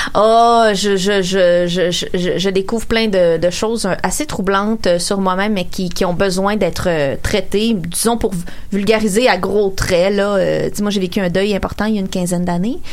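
Over noticeable background noise and audible room echo, a woman talks at a fairly slow pace with a medium pitch and fairly even intonation. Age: 30s. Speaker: radio columnist. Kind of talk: casual chat.

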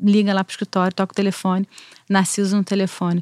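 In a very clean recording with a silent background, a woman talks at a very fast pace and a medium pitch, her intonation monotone and flat, the sound dry and close with no echo. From Brazil, Rio de Janeiro. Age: 40s. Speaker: criminal lawyer. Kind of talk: casual interview.

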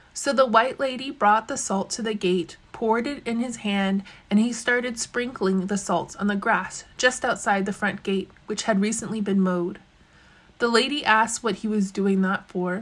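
A woman talks with fairly even intonation in a fairly high pitch, her voice somewhat breathy. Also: moderate pace. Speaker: storyteller. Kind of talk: storytelling, reading folk tales aloud in a narrated, dramatized telling.

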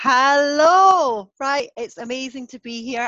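A woman speaks very slowly with a Scottish accent. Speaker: podcast host. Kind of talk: podcast interview.

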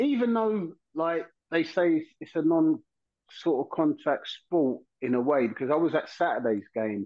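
A man with a London accent, fairly slow in pace, lively in intonation. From South London. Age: 50s. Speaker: former footballer. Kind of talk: casual chat.

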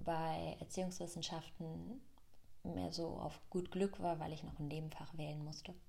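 A woman talks at a moderate pace, her voice carrying audible room echo over noticeable background noise. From Germany, Rhön region. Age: 20s. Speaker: yoga teacher and podcaster. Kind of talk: personal storytelling monologue.

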